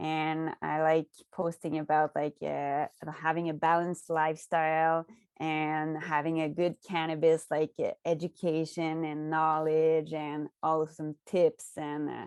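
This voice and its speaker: A woman speaks at a fairly slow pace in a very deep, low pitch, with a slight Quebec accent. Her intonation is flat and monotone, and the sound is dry and close with no echo. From Quebec, Canada. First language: French. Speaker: cannabis content creator. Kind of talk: podcast interview.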